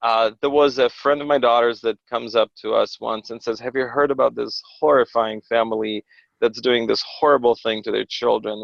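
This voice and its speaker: Speaking at a moderate pace, a man with a Russian accent has a medium pitch. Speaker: pastor and homeschooling father. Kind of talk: podcast interview. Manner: conversational with many fillers and restarts.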